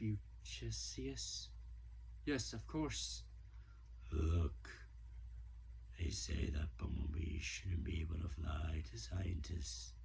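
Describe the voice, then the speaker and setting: A man does a put-on character voice at a very slow pace. Long, frequent pauses break it up over clear background noise. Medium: solo performance. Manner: soft, reflective.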